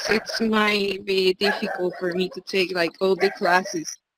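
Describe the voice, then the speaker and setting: A woman speaks in a Spanish accent. Her pace is fairly slow. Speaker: student, English teacher. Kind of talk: casual chat.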